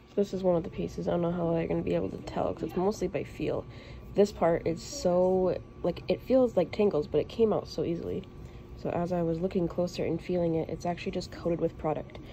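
A woman speaks at a very fast pace. Music plays in the background. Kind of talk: casual vlog chat. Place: shop. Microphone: phone near.

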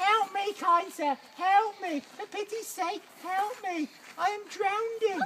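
A female-sounding put-on character voice at an extremely high pitch and a fairly slow pace, over clear background noise. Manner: pleading, dramatic.

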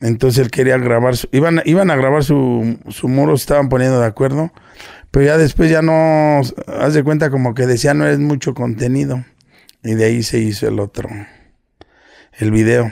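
A man speaks in a dark, mellow tone with ordinary pitch variation. The sound is dry with no echo, against a quiet background. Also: moderate pace. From Mexico, Nezahualcóyotl (State of Mexico), born in Guerrero. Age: 40s. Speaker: internet personality, businessman. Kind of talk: casual interview chat. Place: home room. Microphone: studio mic.

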